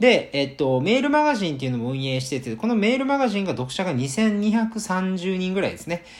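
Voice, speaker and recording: A man talks at a fairly quick pace with hardly any pauses. His high pitch swings very widely. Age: 20s. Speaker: web business owner, podcaster. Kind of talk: solo podcast monologue.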